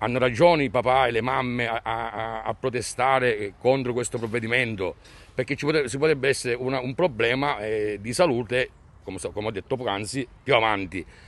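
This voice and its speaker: A man with an ordinary speaking voice, ordinary pitch variation and a fairly quick pace. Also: medium pitch for a man. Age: 50s. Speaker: concerned parent. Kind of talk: street interview, protest statement. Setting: outdoors in front of a school.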